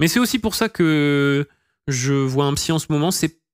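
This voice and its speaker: The sound is dry and close, with no echo and a silent background in a very clean recording. Pitch variation is ordinary. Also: man. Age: 20s. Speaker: streamer. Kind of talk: casual chat. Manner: halting.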